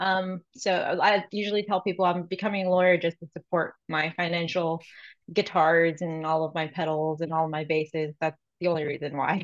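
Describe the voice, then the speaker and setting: At a moderate pace and with fairly even intonation, a woman with an American accent and an unremarkable speaking voice talks at a fairly low pitch over a quiet background. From South Florida, Miami area. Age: 30s. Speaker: law student and paralegal, fitness client. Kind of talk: casual podcast interview.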